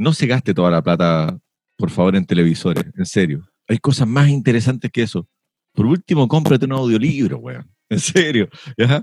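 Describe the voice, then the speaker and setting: A man speaks at medium pitch and a moderate pace with vocal fry and very wide pitch swings, the sound dry and close with no echo. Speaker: podcast host. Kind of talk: casual chat.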